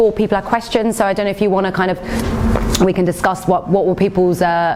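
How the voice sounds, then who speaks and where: A woman with an Essex accent at a very fast pace, music in the background. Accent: Essex Cockney, comes through sometimes. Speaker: nurse and nutritional therapist giving a talk. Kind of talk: health talk Q&A with audience.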